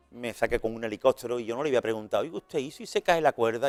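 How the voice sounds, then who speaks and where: Someone speaks in an animated tone at a very fast pace, with music in the background. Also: man, dry, close sound with no echo. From Spain, Seville. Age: 60s. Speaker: retired evangelist and prison visitor. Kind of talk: interview testimony. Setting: radio and TV studio. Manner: animated, repetitive restarts.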